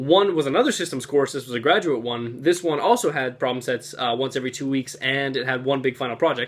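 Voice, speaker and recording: The speaker talks at a very fast pace with hardly any pauses and ordinary pitch variation. Noticeable background noise runs underneath. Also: man, medium pitch for a man. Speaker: college student vlogger. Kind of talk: vlog monologue. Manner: soft-spoken.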